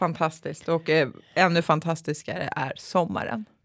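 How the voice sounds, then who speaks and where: The tone is bright and sharp, heard on a very clean recording against a silent background. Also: woman. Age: 30s. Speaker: podcast co-host. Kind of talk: casual chat. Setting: studio.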